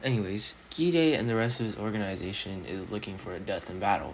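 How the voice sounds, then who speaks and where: Mumbling at a moderate pace, a man speaks in a fairly low pitch. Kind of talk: casual anime analysis voiceover. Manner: mumbling a bit.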